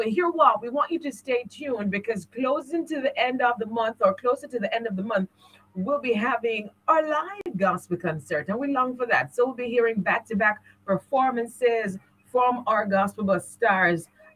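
Lively in intonation, a woman speaks at a moderate pace. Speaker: radio show host. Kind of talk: live radio hosting. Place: studio. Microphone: studio mic.

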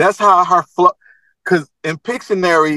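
Against a quiet background, a raised, projected voice with an American accent and a bright, sharp tone moves at a moderate pace with ordinary pitch variation, the sound dry with no echo. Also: man. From Baltimore, Maryland. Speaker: rapper; guest. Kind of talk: casual chat. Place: car. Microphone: video call.

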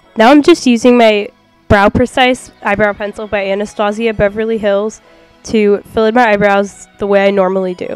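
Over music in the background, a woman speaks at a moderate pace in a fairly high pitch with fairly even intonation. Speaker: beauty vlogger. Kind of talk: makeup tutorial voiceover.

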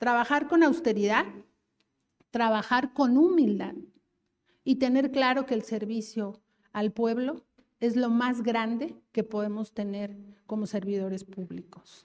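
With a Mexico City accent, a woman speaks at a fairly high pitch, leaving long, frequent pauses. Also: ordinary pitch variation, fairly slow pace. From Mexico City (Iztapalapa). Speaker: government official; panelist. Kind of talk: political speech. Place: hall. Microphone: handheld.

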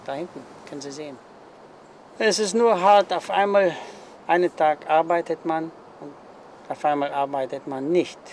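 Light background noise sits behind a man speaking at a moderate pace, his fairly high pitch showing ordinary variation. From Germany. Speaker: retired factory worker; interviewee. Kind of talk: interview. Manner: halting. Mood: calm, reflective. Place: garden.

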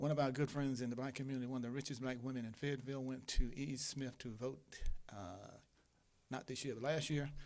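At a very fast pace, a man talks with fairly even intonation through audible room echo. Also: medium pitch for a man. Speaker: imam and public commenter. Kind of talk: public comment at city council. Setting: city council meeting.

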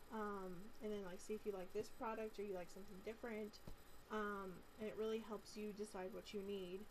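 Light background noise sits under the recording. A woman speaks at a moderate pace. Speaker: vlogger. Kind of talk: casual vlog chat. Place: home room. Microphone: webcam.

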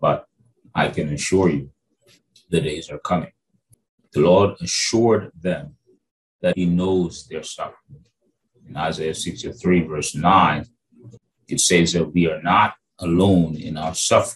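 Over light background noise, a man with a very deep, low pitch speaks at a fairly slow pace, with ordinary pitch variation and long, frequent pauses. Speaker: bible teacher. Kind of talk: sermon-style teaching. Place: home room. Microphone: webcam.

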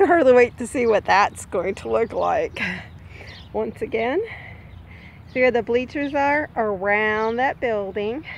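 A woman speaks at a fairly slow pace with ordinary pitch variation and long, frequent pauses. The sound is dry with no echo, and there is light background noise. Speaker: vlogger. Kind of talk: casual vlog chat. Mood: cheerful, relaxed. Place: bicycle. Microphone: phone near.

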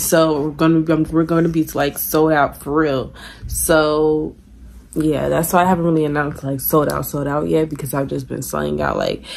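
A woman's very deep, low voice at a moderate pace, monotone and flat in intonation. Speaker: vlogger. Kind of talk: casual vlog chat. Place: home room. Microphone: phone near.

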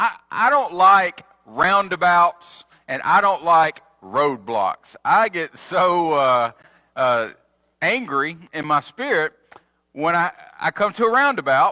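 Over a quiet background, a man speaks very slowly in a bright, sharp tone. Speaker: preacher. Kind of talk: sermon. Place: church.

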